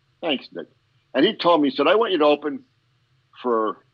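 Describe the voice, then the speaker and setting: A man speaks with an American accent. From Pennsylvania coal region (anthracite, northeastern PA). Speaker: stand-up comedian. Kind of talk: casual interview chat.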